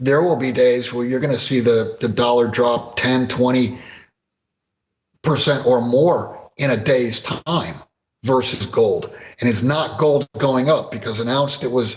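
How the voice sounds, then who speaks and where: Somewhat breathy man's voice at medium pitch, fairly slow in pace, with fairly even intonation. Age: 60s. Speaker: precious metals commentator. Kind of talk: interview.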